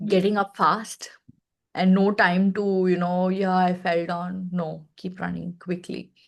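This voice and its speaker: A woman with a Telugu accent at a fairly slow pace. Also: medium pitch for a woman. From India, Chennai. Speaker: space education partnerships head. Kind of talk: interview conversation. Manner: animated.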